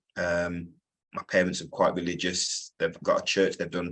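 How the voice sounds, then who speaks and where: A man at a moderate pace, pitch variation ordinary. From Wolverhampton, West Midlands England. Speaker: business owner. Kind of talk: interview. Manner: hesitant, many fillers.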